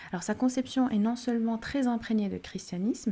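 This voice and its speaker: A woman's dark, mellow, somewhat breathy voice with ordinary pitch variation. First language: Arabic (speaking French). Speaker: parenting podcast host. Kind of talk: solo podcast monologue. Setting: at home during children's nap. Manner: some hesitation and repeated words.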